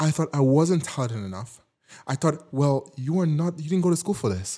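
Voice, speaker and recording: A man's somewhat breathy, dark and mellow voice, fairly high in pitch, with lively intonation, on a very clean recording with a silent background. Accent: non-native. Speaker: podcast host. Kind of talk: solo podcast monologue, motivational. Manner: warm, encouraging, animated.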